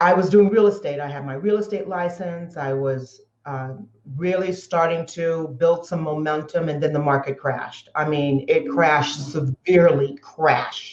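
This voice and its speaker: A woman's normal speaking voice, fairly low in pitch, with ordinary pitch variation, a moderate pace and big swings in loudness. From Southern California. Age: 60s. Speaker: entrepreneur. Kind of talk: interview.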